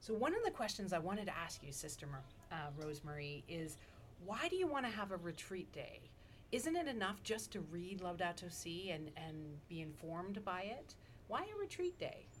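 A fairly quick-paced woman's voice at medium pitch with lively intonation. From Toronto, Canada. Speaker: ethics professor and eco-theologian. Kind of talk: casual interview conversation.

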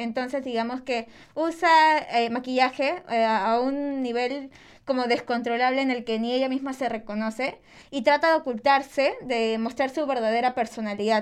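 A woman speaks against a quiet background. Her voice is high-pitched, with fairly even intonation. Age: 20s. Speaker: podcast co-host, journalism student. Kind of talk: casual chat.

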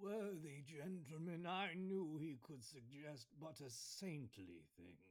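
A man speaks at a fairly slow pace in a fairly high-pitched voice with lively intonation. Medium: audio drama. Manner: earnest, pious, fussy.

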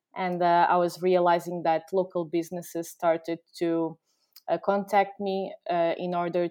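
A woman with a Portuguese accent speaks at a fairly slow pace with a fairly low pitch and a monotone, flat intonation. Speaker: company founder. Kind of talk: casual interview. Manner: halting.

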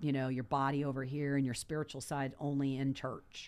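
A woman with an American accent and a very deep, low pitch speaks at a moderate pace in a monotone, flat intonation, in a very clean recording with a silent background. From Southern California, Los Angeles area. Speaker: yoga instructor. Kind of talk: casual chat.

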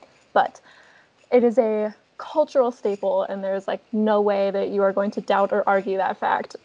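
A woman speaks at a medium pitch in an unremarkable speaking voice. The recording is dry and close, with no echo. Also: ordinary pitch variation, moderate pace. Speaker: podcast co-host. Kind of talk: casual chat.

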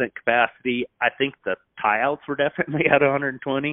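With a Midwestern American accent, a man speaks at a fairly slow pace using fairly even intonation. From Nebraska, US Midwest. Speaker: cattle breeder. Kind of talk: casual chat.

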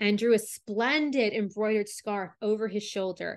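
A woman with an unremarkable speaking voice talks at a moderate pace in a medium pitch. Her intonation is fairly even, and the background is quiet. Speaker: storyteller podcast host. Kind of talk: reading a fairy tale aloud as storytelling narration.

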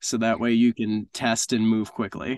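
With a normal speaking voice, a man talks at a fairly slow pace in a medium pitch and fairly even intonation, the sound dry and close with no echo against a quiet background. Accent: American. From US Northeast. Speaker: business operations director at a product development agency. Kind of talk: podcast interview.

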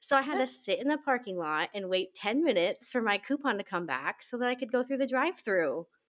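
With an American accent, a woman speaks at a fairly high pitch and fairly quick pace, her lively intonation touched with vocal fry. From Nebraska. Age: 20s. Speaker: podcast co-host, stay-at-home mom. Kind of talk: casual chat.

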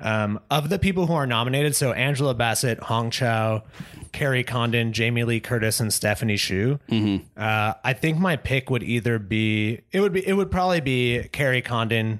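With an ordinary speaking voice, a man talks at a moderate pace and medium pitch, his intonation lively, his loudness very even and hardly any pauses between words. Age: 30s. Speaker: movie podcast co-host. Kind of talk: casual chat.

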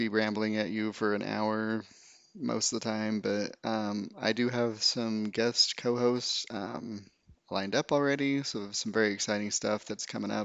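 Male voice at a moderate pace, fairly low in pitch, monotone and flat. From Utah, rural. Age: 30s. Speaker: podcast host. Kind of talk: casual solo monologue. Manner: rambling with many fillers.

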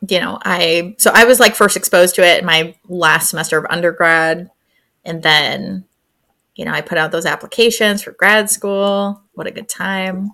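Speaking at a moderate pace with an American accent, a woman has a bright, sharp tone, fairly even intonation and big swings in loudness on a very clean recording with a silent background. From upstate New York (Syracuse). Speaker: family therapist and professor. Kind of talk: casual chat.

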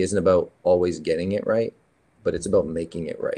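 A man talks fairly briskly, with little sound in the background. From Canada, then Maine and Rhode Island. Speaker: preacher, recovering addict. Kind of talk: personal testimony.

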